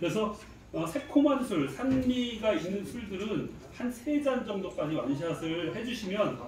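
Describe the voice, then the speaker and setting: Noticeable background noise sits under the voice, along with audible room echo. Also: man. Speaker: brewery host leading tasting. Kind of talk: guided tasting explanation. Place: cafe. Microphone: camera far.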